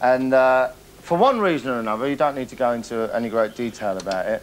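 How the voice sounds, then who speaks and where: Light background noise sits behind a man speaking at a fairly quick pace. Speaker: TV presenter. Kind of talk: comic TV presenting to camera. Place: studio.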